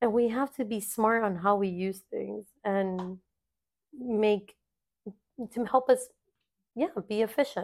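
At a fairly slow pace and with long, frequent pauses, a woman with a fairly high pitch speaks with ordinary pitch variation. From South Florida, Cuban-American family. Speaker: podcast host. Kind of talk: casual personal monologue. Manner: animated, jumps between topics.

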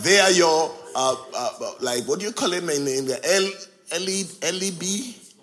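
An animated man with lively intonation, audible room echo and noticeable background noise. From Nigeria. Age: 60s. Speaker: visiting pastor. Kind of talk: sermon. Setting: church.

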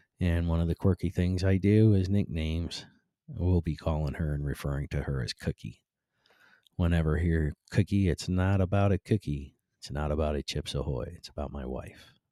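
In a very deep, low voice with a dark, mellow tone, a man talks at a moderate pace with ordinary pitch variation, captured in a very clean recording with a silent background and a dry, close sound without echo. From Cleveland, Ohio. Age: 50s. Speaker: podcast host and construction business owner. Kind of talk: casual monologue. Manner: laid-back; halting, many fillers.

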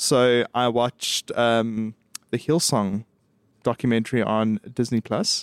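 Delivered at a very slow pace with fairly even intonation and very even loudness, the voice has a dry, close sound with no echo. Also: man, medium pitch for a man. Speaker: podcast co-host. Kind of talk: casual chat.

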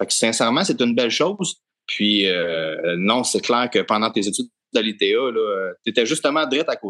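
A man speaks at a medium pitch and a moderate pace, his tone bright and sharp. The intonation is lively, and the sound is dry and close with no echo. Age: young. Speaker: podcast co-host, dairy farmer. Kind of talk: podcast interview.

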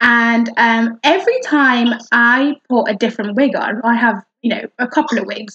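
A woman speaks in a northern English accent. Her pitch is high, with ordinary pitch variation. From northern England. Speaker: podcast host. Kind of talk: casual chat. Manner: animated.

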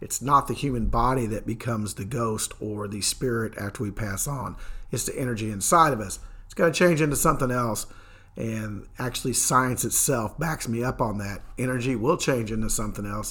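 A man with a bright, sharp tone and medium pitch speaks at a moderate pace, his loudness swinging widely. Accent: Kentucky. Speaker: paranormal podcast host. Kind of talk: solo podcast monologue.

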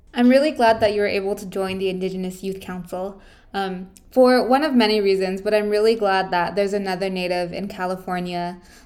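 In a room with audible echo, a woman at medium pitch speaks at a fairly quick pace, her intonation fairly even but her loudness swinging widely. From northern New Mexico, Santa Clara Pueblo. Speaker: podcast host, student youth council member. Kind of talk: interview podcast.

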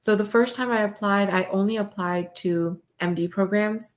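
Fairly slow and with fairly even intonation, this is an ordinary speaking voice. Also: woman. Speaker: podcast host and medical student. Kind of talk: casual chat.

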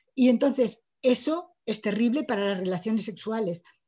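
The speaker talks at a fairly slow pace, somewhat breathy, with lively intonation. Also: woman. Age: 60s. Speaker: writer. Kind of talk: lecture.

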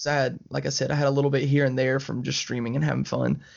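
This is a man talking with a Southern US accent. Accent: Southern American. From Alabama, US South. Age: 20s. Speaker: video game streamer. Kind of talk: casual chat.

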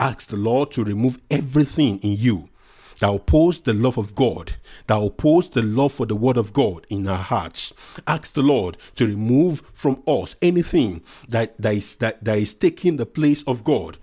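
Speaking at a moderate pace with lively intonation, a man with a dark, mellow tone is heard on a very clean recording with a silent background. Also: medium pitch for a man. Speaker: prayer leader. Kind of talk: fervent group prayer, leading a congregation in prayer. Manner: fervent, urgent, exhorting; earnest, formal, preacher-like.

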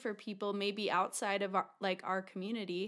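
A woman's ordinary speaking voice at medium pitch with an American accent, on a very clean recording with a silent background. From Utah. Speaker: podcast co-host. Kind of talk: casual interview chat.

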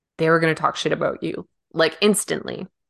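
With a western Canadian accent, a woman talks at a moderate pace in a fairly low pitch. Her intonation is fairly even, and the background is quiet. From Canada, Vancouver Island. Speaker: podcast co-host. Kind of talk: casual chat.

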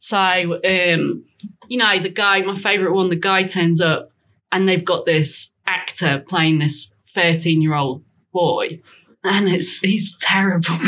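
A woman's bright, sharp voice with a Lincolnshire accent, very slow in pace and fairly even in intonation. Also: medium pitch for a woman. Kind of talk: casual chat.

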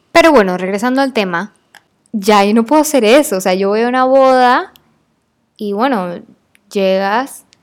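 Speaking at a fairly high pitch and a moderate pace, a woman sounds animated, her intonation lively and her speech broken by long, frequent pauses. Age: 20s. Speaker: podcast host. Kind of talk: casual monologue.

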